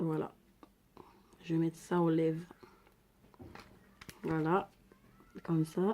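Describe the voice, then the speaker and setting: Speaking at a very slow pace with long, frequent pauses, a woman uses a fairly low pitch, a dark, mellow tone, monotone, flat intonation and very even loudness. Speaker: beauty vlogger. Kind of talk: makeup tutorial. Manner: casual, chatty.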